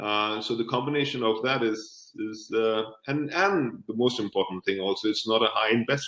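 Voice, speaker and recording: At a moderate pace and with hardly any pauses, a man talks at a medium pitch with ordinary pitch variation. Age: 60s. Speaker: franchise business owner. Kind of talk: interview. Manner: halting, repetitive.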